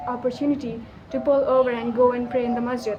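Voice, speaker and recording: With a Pakistani accent, a woman speaks in a high voice. Audible room echo and noticeable background noise are present. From Pakistan, Karachi. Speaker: vlogger. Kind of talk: casual vlog monologue. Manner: animated.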